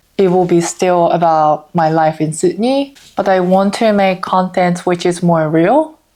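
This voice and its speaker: A woman speaks at a medium pitch with a Japanese accent. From Japan, Osaka. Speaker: vlogger. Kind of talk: casual vlog talk.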